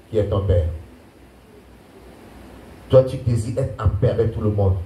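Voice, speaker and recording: The speech moves at a very slow pace. There is audible echo from the room. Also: man. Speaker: pastor. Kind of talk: sermon. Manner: animated.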